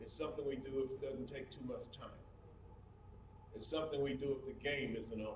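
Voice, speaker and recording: In a room with audible echo, a man with a fairly high pitch talks at a fairly quick pace, broken by long, frequent pauses. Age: 60s. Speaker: historian lecturer. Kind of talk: public lecture. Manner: animated.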